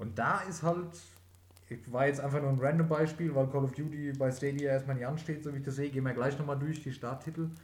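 A man with a fairly high pitch talks at a very fast pace, his somewhat breathy voice carrying fairly even intonation over audible room echo. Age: 30s. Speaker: podcast host, gamer. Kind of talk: casual chat.

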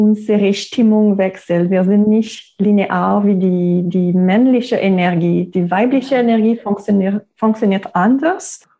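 In a Quebec accent, a woman speaks very slowly with hardly any pauses, using a dark, mellow tone at medium pitch. Her pitch varies in an ordinary way, and her loudness stays very even. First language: French (speaking German). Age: 30s. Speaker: yoga teacher. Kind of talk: guided meditation; interview. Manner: halting.

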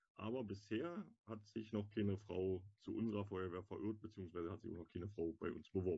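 A man with a fairly low pitch uses a plain, everyday voice at a fairly quick pace with ordinary pitch variation. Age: 30s. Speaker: firefighter. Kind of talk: casual interview.

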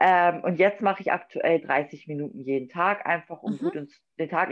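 A woman speaks at a fairly low pitch with ordinary pitch variation. It is a plain, everyday voice. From northern Germany, Wolfsburg, Lower Saxony. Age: 20s. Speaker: figure bodybuilding athlete. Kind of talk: casual chat.

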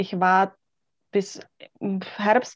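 Here a woman speaks at a medium pitch. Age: 30s. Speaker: coach who recently went self-employed. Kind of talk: interview.

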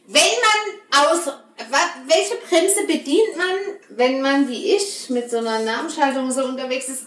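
A woman with a high pitch speaks fairly slowly in an animated tone, her pitch swinging very widely over noticeable background noise. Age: 30s. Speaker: podcast host. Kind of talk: casual chat.

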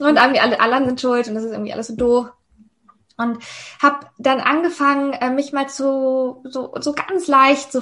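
A woman talks at a moderate pace. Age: 30s. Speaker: mindset coach. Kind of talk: podcast interview.

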